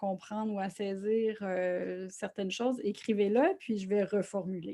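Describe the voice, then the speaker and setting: In a Quebec accent, a woman speaks very slowly at a medium pitch, her tone dark and mellow and her intonation fairly even, over a quiet background. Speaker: social worker and grief workshop presenter. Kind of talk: online lecture. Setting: online video conference.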